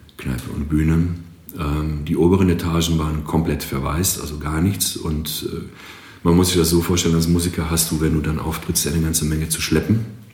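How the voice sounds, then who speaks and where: Monotone, flat speech at a moderate pace comes with audible room echo and noticeable background noise. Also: man, very deep, low pitch for a man. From Greece. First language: Greek (speaking German). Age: 40s. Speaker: marketing agency owner and drummer. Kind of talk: podcast interview.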